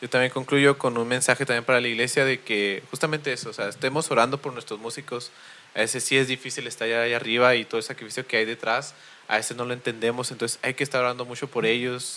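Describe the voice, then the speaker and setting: A man at a very fast pace, medium-pitched, bright and sharp in tone, with monotone, flat intonation. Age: 20s. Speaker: podcast host. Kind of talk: casual chat.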